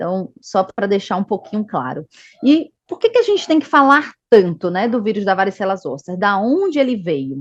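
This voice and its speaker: Delivered at a moderate pace in a Bahian accent, the speech moves through very wide pitch swings. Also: woman. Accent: Northeastern Brazilian (Bahia). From Northeast Brazil, Salvador. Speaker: medical education manager at a vaccine company. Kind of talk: online health talk.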